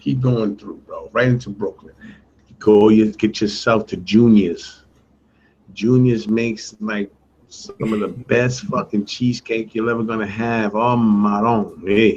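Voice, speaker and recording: A man speaks with a New York accent at a medium pitch. His pace is fairly slow and his intonation fairly even. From New York City, Puerto Rican heritage. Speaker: show co-host. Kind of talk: casual chat.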